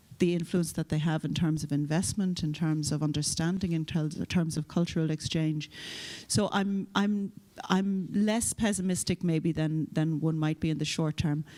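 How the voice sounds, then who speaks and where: The speaker has an Irish accent and a dark, mellow tone, talking at a moderate pace with fairly even intonation and very even loudness. The recording is very clean, with a silent background. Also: woman, very deep, low pitch for a woman. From Ireland. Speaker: EU official, panelist. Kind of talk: conference panel discussion. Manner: hesitant, repeats words.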